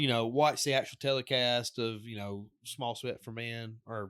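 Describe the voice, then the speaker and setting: A man keeps a moderate pace and fairly even intonation in a normal speaking voice. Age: 30s. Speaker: podcaster. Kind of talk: casual chat.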